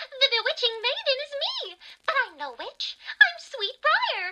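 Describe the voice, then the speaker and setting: A cartoonish character voice, female-sounding, at an extremely high pitch and a fairly slow pace. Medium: puppet. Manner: upbeat, bubbly.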